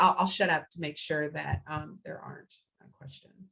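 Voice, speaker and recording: A woman talks at a fairly quick pace. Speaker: speech-language pathologist and researcher. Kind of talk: webinar lecture. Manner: fast.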